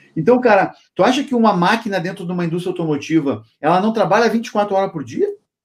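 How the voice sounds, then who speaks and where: A man with a high pitch, very fast pace and lively intonation. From Rio Grande do Sul, Brazil. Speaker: logistics consultant and YouTuber. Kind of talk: interview.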